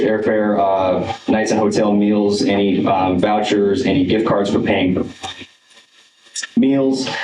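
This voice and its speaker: The voice moves at a fairly slow pace with fairly even intonation, amid noticeable background noise and audible room echo. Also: man. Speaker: music teacher presenting a travel request. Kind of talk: presentation to school board. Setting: school board meeting. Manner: hesitant, many fillers.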